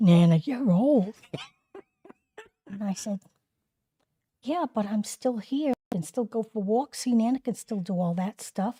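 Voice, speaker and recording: A woman's somewhat breathy voice with a dark, mellow tone and lively intonation, at a fairly slow pace with long, frequent pauses, in a dry, close sound with no echo. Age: 70s. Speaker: grandmother sharing stories. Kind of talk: casual chat. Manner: animated.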